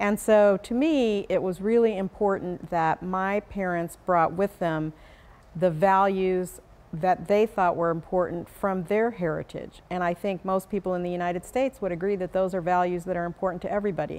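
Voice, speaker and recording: A woman speaks at medium pitch and a moderate pace with an American accent. Her intonation is fairly even, in an unremarkable speaking voice. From Arizona, US. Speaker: attorney. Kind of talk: interview.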